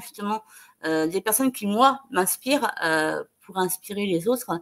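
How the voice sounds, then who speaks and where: The surroundings are quiet while a woman talks. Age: 30s. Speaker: interview guest, speaker. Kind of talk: online video interview. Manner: halting, frequent repetitions and hesitations. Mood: warm, encouraging. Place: home room.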